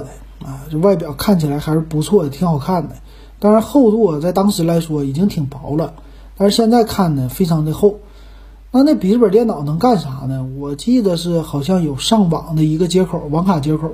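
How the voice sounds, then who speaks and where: A man speaks at a moderate pace in a dark, mellow tone, with ordinary pitch variation. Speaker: podcast host. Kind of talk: casual monologue.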